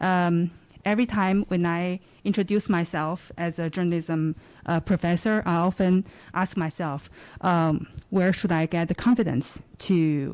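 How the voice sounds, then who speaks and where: With a fairly low pitch, a woman speaks at a moderate pace and fairly even intonation. The recording is very clean, with a silent background. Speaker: journalism professor. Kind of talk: audience question at public forum. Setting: live event, at audience microphone. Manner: halting, many fillers.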